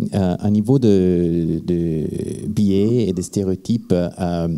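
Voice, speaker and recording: A man speaks with a non-native accent at a fairly low pitch. His pitch variation is ordinary. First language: not French (speaking French). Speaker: activist, campaigner. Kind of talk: panel discussion. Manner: slow, careful.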